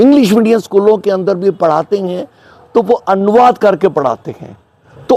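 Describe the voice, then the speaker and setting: With noticeable background noise behind him, a man keeps a moderate pace and varies his pitch in an ordinary way. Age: 80s+. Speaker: English teacher. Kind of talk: interview answer.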